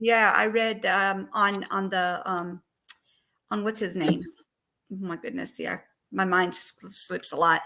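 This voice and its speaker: At a fairly slow pace with long, frequent pauses, a woman speaks in a bright, sharp tone. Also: medium pitch for a woman. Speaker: true crime livestream host. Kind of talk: casual livestream discussion. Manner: halting.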